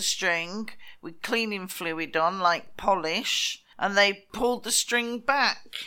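Speaking in a British accent, a woman uses a bright, sharp tone at a medium pitch. She goes at a very slow pace with fairly even intonation. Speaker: podcast co-host. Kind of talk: casual chat, comedic. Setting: recording remotely from Spain.

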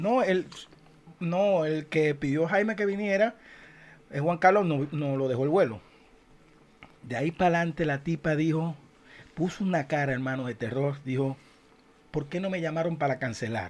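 A man with a fairly high pitch for a man talks at a moderate pace with ordinary pitch variation and long, frequent pauses. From Venezuela, Zulia eastern coast. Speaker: podcast co-host, musician. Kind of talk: casual chat. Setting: studio.

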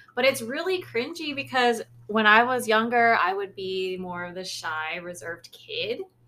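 A woman with an American accent, fairly high in pitch and bright, sharp in tone, at a moderate pace with hardly any pauses, very wide pitch swings and big swings in loudness. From US, Lao heritage. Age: 20s. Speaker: podcast co-host. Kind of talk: casual chat.

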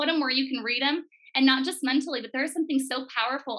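In an American accent, a woman uses a raised, projected voice with a high pitch and a bright, sharp tone. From Portland, Oregon. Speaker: social media content creator. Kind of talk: faith testimony interview.

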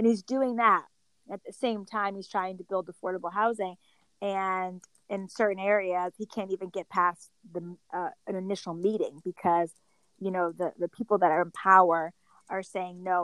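A woman with a plain, everyday voice and an American accent talks at a moderate pace and medium pitch, with fairly even intonation and big swings in loudness, in a very clean recording with a silent background and a dry, close sound with no echo. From Connecticut. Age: 30s. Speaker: pro-life activist. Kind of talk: casual chat. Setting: app call.

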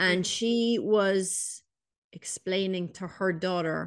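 Against a quiet background, a woman with an Irish accent speaks with ordinary pitch variation. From Ireland. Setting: home recording.

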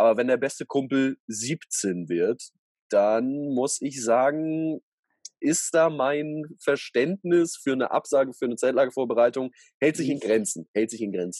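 This is a man with a normal speaking voice, medium pitch, and ordinary pitch variation. He speaks at a fairly slow pace, the sound dry and close with no echo. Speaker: podcast co-host, youth camp leader. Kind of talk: casual chat.

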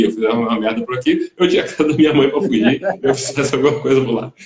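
A man talks at a very fast pace. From Volta Redonda, Rio de Janeiro state, Brazil. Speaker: musician. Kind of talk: interview.

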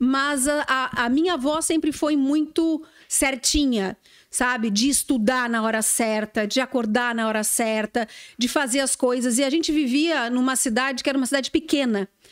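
A woman's high voice at a moderate pace, with ordinary pitch variation and very even loudness, on a very clean recording with a silent background. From southern Brazil (Rio Grande do Sul, Uruguay border). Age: 40s. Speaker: TV news anchor. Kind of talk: casual interview chat.

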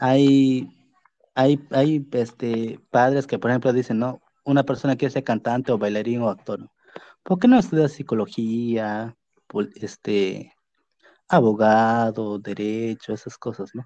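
A man's dark, mellow voice sits at a medium pitch, with ordinary pitch variation and a fairly slow pace. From Peruvian jungle region. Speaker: podcast host. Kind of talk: casual interview. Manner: halting, repetitive.

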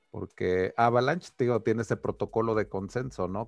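The man's voice sits at a fairly low pitch with ordinary pitch variation. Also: quiet background. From Mexico, Taxco (Guerrero). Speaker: crypto podcast host. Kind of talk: casual chat. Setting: video call.

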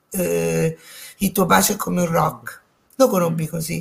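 Vocal fry from a woman at a moderate pace. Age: 60s. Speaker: daughter of a film director, interview guest. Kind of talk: casual interview chat.

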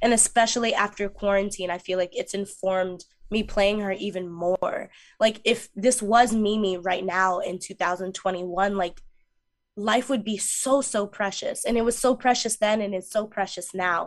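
In an American accent, a woman talks at medium pitch and a moderate pace. She has an ordinary speaking voice with fairly even intonation. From New York, Mount Vernon. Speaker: musical theater actress. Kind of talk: interview.

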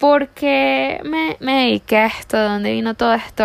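A woman speaks at a fairly slow pace with a medium pitch and very wide pitch swings. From Venezuela, La Guaira. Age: 20s. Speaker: virtual assistant. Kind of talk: self-introduction video.

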